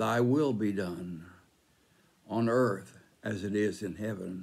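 This is a man's voice. He speaks at a very slow pace. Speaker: church devotional speaker. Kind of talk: devotional teaching with group prayer. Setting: church online ministry video. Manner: measured, formal, earnest. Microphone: phone near.

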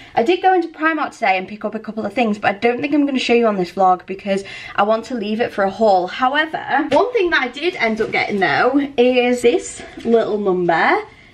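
High-pitched woman at a fairly quick pace, with very wide pitch swings and noticeable background noise. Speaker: vlogger and university student. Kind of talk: casual vlog monologue. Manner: chatty, giggly.

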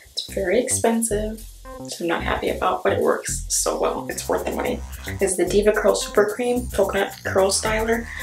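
Clear music plays in the background as someone speaks at a moderate pace. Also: woman. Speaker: beauty vlogger. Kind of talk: casual product review vlog. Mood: enthusiastic, relaxed. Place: home room. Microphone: phone near.

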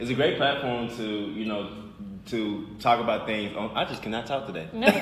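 Ordinary pitch variation, with light background noise and audible room echo. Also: man, moderate pace. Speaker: show co-host. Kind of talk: casual talk show chat. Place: office. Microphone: camera far.

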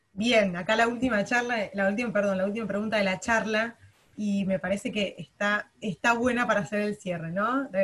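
The pitch holds fairly even. It is a plain, everyday voice at a medium tempo. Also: woman, medium pitch for a woman. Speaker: workshop moderator. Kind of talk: Q&A moderation.

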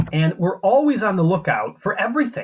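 With an American accent, a man speaks in very wide pitch swings over light background noise. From US Midwest, central Illinois. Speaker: paleontologist and author. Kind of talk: lecture. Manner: informal. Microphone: video call.

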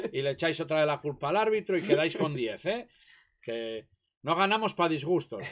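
A man speaks in a plain, everyday voice at a moderate pace. His pitch is fairly high, and his intonation is lively. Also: very clean recording, silent background. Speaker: host's father. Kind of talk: casual chat. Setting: live stream.

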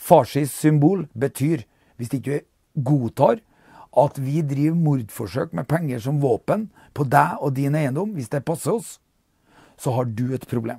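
A man talks at a fairly slow pace with lively intonation and a somewhat breathy, dark, mellow tone. The sound is dry with no echo, over a quiet background. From Norway. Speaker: political commentator. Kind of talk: monologue commentary. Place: home room.

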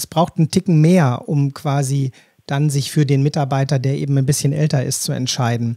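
Somewhat breathy and dark, mellow in tone, a man's fairly high voice moves with fairly even intonation. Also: dry, close sound with no echo. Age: 50s. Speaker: podcast host. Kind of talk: interview.

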